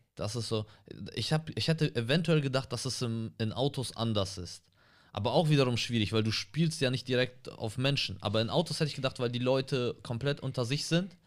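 A man at a fairly quick pace and medium pitch, ordinary pitch variation, in a very clean recording with a silent background. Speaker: comedian and podcast co-host. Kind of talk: casual chat. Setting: studio.

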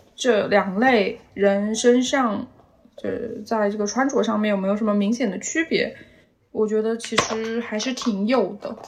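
A plain, everyday voice: a woman at a fairly high pitch, fairly slow pace, fairly even intonation. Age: 20s. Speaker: podcast guest, office worker. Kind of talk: casual chat.

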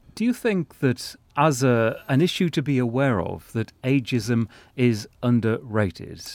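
A man with a plain, everyday voice and medium pitch speaks fairly slowly with lively intonation on a very clean recording with a silent background. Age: 60s. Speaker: podcast host.

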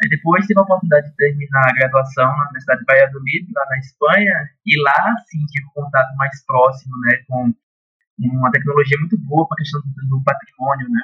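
A man's fairly high pitch in an ordinary speaking voice, fairly quick, with ordinary pitch variation. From Brazil, Pernambuco backlands (Petrolina). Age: 20s. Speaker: architect and urban planner. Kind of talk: casual interview.

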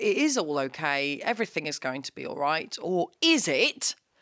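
Very wide pitch swings in a British accent at a moderate pace, with music in the background. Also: woman. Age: 30s. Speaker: comedian. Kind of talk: casual chat. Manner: animated.

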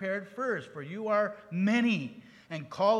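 The pitch varies in an ordinary way as the speaker reads aloud in a natural voice.

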